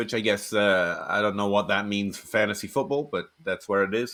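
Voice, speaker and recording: A man's fairly low voice at a very fast clip, with ordinary pitch variation. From England, Shropshire. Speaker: fantasy football writer and podcaster. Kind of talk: podcast interview.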